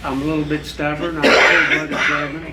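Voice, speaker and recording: The speaker has an American accent, heard through noticeable background noise and audible room echo. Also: man. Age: 70s. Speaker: farmer. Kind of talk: panel discussion.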